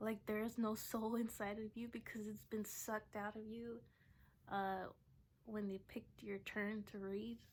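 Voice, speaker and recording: The voice is soft-spoken and somewhat breathy, with a flat, monotone intonation. The pace is fairly slow. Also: woman, fairly high pitch for a woman. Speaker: vlogger and poet. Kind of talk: casual vlog talk. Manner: halting.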